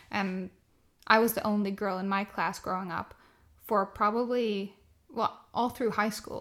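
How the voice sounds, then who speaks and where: Long, frequent pauses break up a woman's monotone, flat delivery at medium pitch on a very clean recording with a silent background. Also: fairly slow pace. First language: Swedish. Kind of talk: casual chat.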